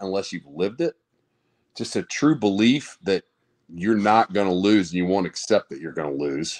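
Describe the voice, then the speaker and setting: Over a quiet background, a man with a fairly low pitch speaks at a fairly quick pace with lively intonation. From US South. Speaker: former college football player; guest. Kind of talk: casual chat. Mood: animated, smiling storytelling. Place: home room. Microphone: video call.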